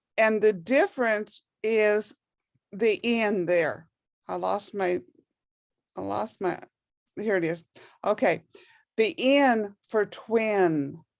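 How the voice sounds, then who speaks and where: A very slow pace with long, frequent pauses, lively intonation, and a New Mexico accent. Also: woman, medium pitch for a woman. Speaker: ESL teacher. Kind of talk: online language class.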